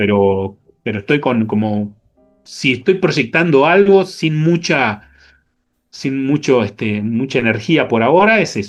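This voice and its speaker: A man with a Rioplatense accent talks at a fairly slow pace and medium pitch, with very wide pitch swings and music in the background. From Argentina. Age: 60s. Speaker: jazz bassist and music teacher. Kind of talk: interview. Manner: halting.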